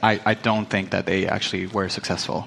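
A man speaks at a fairly low pitch and a fairly quick pace, with monotone, flat intonation. Noticeable background noise is present. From Venezuela. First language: Spanish. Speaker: crypto researcher. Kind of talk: panel discussion.

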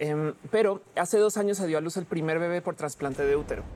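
Someone with a plain, everyday voice speaks at a fairly quick pace. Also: woman. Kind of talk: heated debate.

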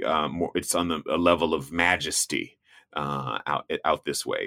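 A man with an American accent, very deep and low in pitch, with vocal fry, at a fairly slow pace, in dry, close sound without echo. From US South. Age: 40s. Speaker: travel TV host and explorer. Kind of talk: casual interview chat.

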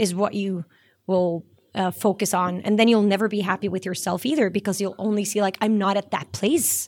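In a Norwegian accent, a woman talks at a moderate pace with a medium pitch. The recording is very clean with a silent background. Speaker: singer-songwriter. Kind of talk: casual interview.

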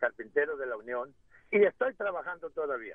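With a normal speaking voice, a man talks at a fairly high pitch using lively intonation. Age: 60s. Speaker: caller, retired carpenter. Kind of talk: radio call-in.

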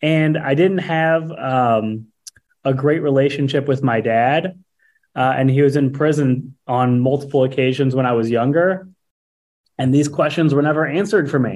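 Here is a man with a plain, everyday voice and a fairly high pitch. He keeps a moderate pace, ordinary pitch variation and very even loudness. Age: 30s. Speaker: landscaping business owner and podcast host. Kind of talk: casual interview.

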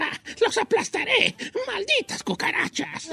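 Put-on character voice at an extremely high pitch and fairly slow pace. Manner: menacing, gloating.

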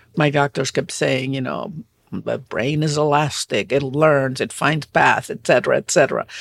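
Speaking with a Spanish accent at a moderate pace, a woman uses a very deep, low pitch with vocal fry and ordinary pitch variation, in a dry, close recording with no echo that is very clean, with a silent background. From Puerto Rico. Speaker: novelist. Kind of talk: interview.

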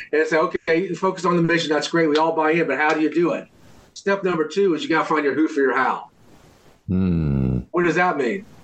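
Very fast and at a very even loudness, a man speaks with a fairly high pitch over noticeable background noise. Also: ordinary pitch variation. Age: 60s. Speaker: inspirational speaker and author. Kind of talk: interview.

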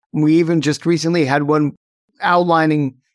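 The pace is moderate. A man uses a normal speaking voice, pitched fairly high. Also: very clean recording, silent background. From upstate New York. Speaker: tech company CEO. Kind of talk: interview.

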